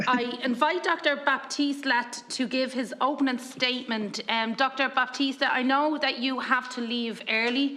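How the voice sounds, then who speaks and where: Over noticeable background noise, a woman in a Dublin accent speaks in a raised, projected voice at a high pitch, fairly slow in pace and fairly even in intonation, with hardly any pauses. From Ireland, Dublin. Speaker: committee chair. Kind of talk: formal committee meeting chairing.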